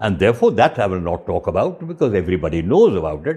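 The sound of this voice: A man speaks with a dark, mellow tone and a slightly husky edge. His pitch swings widely.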